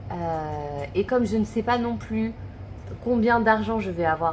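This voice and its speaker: With music in the background, a woman speaks at a fairly slow pace. Her pitch swings very widely. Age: 30s. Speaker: budget vlogger. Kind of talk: casual talk to camera. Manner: hesitant, thinking aloud.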